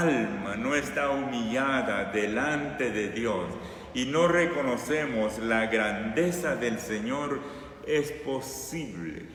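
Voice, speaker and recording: A man at medium pitch, very slow pace and lively intonation, with audible room echo and noticeable background noise. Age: 60s. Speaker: preacher. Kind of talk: sermon.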